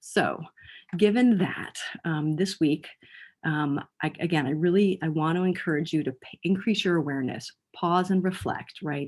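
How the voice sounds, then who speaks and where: The voice shows ordinary pitch variation. The recording is very clean, with a silent background. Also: woman. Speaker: mental health educator. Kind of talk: lecture. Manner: fast; halting.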